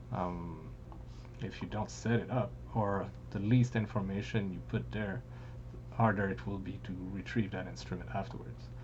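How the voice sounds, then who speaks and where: A man speaks in a very deep, low pitch with vocal fry and very wide pitch swings. His moderate pace includes long, frequent pauses, and audible room echo surrounds him. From France. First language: French. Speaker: music producer, software tutorial maker. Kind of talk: tutorial. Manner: casual, with frequent hesitations.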